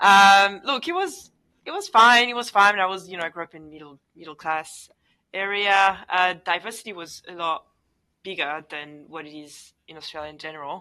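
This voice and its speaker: Bright and sharp in tone, this voice with a French accent keeps a moderate pace, ordinary pitch variation and big swings in loudness over a quiet background. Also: woman, medium pitch for a woman. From France, Paris suburbs. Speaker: engineer and roller derby athlete. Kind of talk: interview conversation.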